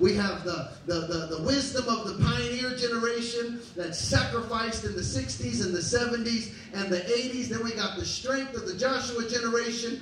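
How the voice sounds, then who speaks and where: A man speaks with an extremely high pitch and ordinary pitch variation at a moderate pace, with hardly any pauses. Audible room echo and light background noise surround him. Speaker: pastor. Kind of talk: sermon. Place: church.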